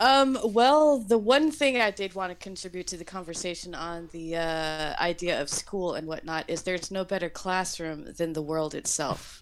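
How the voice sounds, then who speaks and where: Here is an unremarkable speaking voice. A woman at medium pitch talks at a moderate pace with lively intonation and hardly any pauses. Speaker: caller. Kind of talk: casual chat.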